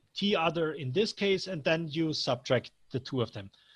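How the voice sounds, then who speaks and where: Speaking at a moderate pace, a man with a high pitch and ordinary pitch variation comes through on a very clean recording with a silent background. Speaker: software developer giving a training. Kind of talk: technical training Q&A. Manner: halting, stuttering.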